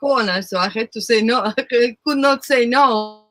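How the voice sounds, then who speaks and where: This voice carries a non-native accent. Its delivery moves at a moderate speed. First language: not English. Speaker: recording artist and former show host. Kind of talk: casual chat.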